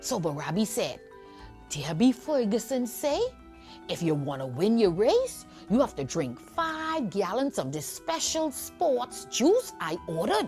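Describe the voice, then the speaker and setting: The speaker is a woman, talking fairly slowly. Behind her, music can be heard. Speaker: storyteller. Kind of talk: children's folk tale storytelling. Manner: lively, engaging.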